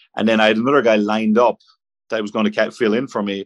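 Spoken very fast in an Irish accent with fairly even intonation. The sound is dry and close, with no echo. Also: man. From Ireland. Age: 30s. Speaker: professional golfer. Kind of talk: casual interview. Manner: halting.

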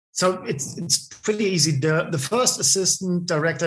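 Against a quiet background, a man talks in a fairly high pitch with a German accent. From Bavaria, Germany. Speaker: film assistant director. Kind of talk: interview. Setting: remote call.

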